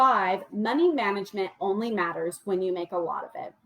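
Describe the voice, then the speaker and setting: This woman's voice has a medium pitch. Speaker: money coach. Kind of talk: livestream presentation. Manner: fast.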